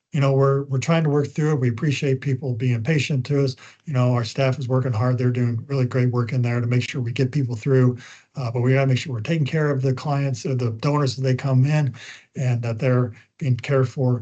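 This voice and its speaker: This man's voice is somewhat breathy and medium in pitch, with a dark, mellow tone. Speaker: communications trainer. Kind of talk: training webinar. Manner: fast; animated.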